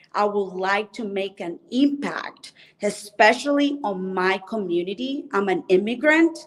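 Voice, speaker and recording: A woman's medium-pitched voice with a Spanish accent, lively intonation and a fairly slow pace over noticeable background noise. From Colombia. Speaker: mortgage specialist and former musician. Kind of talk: interview. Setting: hotel lobby at a convention.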